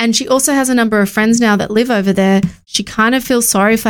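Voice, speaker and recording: A woman with an Australian accent at a medium pitch and fairly quick pace, with fairly even intonation, on a very clean recording with a silent background. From Australia, Sydney northern beaches. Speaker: podcast host and marketing agency founder. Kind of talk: solo motivational talk.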